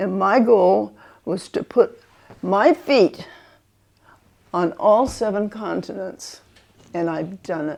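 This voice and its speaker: A woman speaks at a very slow pace, her voice carrying vocal fry. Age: 80s+. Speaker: elderly woman sharing life memories. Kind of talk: personal reminiscence. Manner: halting, many repeated words.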